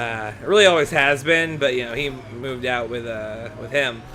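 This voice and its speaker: A man's fairly slow delivery is heard against noticeable background noise. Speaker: gaming let's play host. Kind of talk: casual let's play commentary. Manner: hesitant, many fillers.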